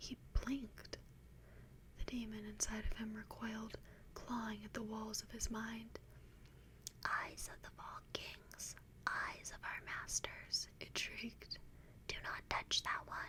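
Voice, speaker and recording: A whispered voice moves at a very slow pace, broken by long, frequent pauses. Noticeable background noise accompanies it. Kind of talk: fiction reading. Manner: whispered, soft.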